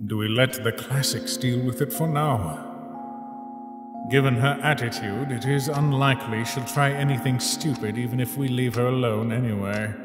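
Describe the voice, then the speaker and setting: A man puts on a cartoonish character voice at medium pitch and a moderate pace. Loud music plays in the background. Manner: commanding, brusque.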